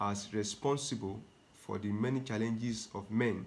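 Fairly even intonation from a man at a fairly slow pace. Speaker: health teacher, preacher. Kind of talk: sermon. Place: home room. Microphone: phone near.

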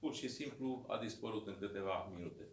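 Audible room echo around a man's fairly slow speech. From Romania, Dâmbovița county (Braniștea, rural); Romania. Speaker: mayor and political candidate; mayor, candidate. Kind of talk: campaign speech. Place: meeting room. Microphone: camera far.

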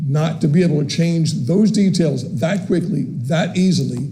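There is noticeable background noise and audible room echo. Through it, a man speaks with ordinary pitch variation. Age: 60s. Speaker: city employee speaking at public comment. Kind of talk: public comment at council meeting. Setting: city commission meeting chamber. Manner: halting, many fillers.

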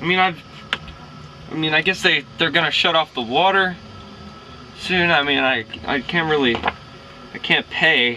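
A man speaks at a fairly slow pace, with long, frequent pauses and ordinary pitch variation. His loudness stays very even over light background noise. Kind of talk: scripted comedic monologue to camera. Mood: rambling, dejected, hesitant. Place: home room. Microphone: camera far.

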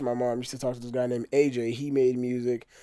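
Speaking with an American accent in an unremarkable speaking voice, a man holds a medium pitch and fairly even intonation against a quiet background. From Texas. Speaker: rapper. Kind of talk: casual interview. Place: home room. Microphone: studio mic.

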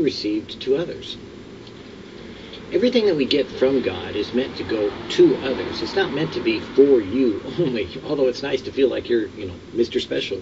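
With noticeable background noise behind him, a man keeps a moderate pace. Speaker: devotional host. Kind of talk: sermon. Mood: calm, earnest. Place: garden.

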